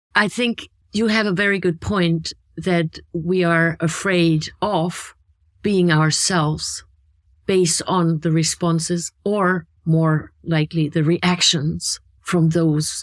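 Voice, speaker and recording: A woman with a German accent, fairly low in pitch, at a very slow pace with fairly even intonation. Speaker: podcast co-host. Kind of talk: casual chat.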